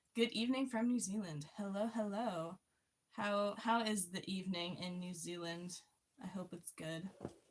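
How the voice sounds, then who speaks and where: A somewhat breathy voice with an American accent, ordinary pitch variation and a moderate pace. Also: woman, medium pitch for a woman. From US. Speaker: livestream host. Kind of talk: casual chat. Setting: livestream. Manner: reading chat aloud.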